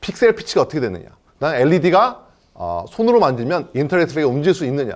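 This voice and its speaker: A man's fairly high voice with vocal fry, very wide pitch swings and a very fast pace. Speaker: company CEO. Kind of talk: investor presentation.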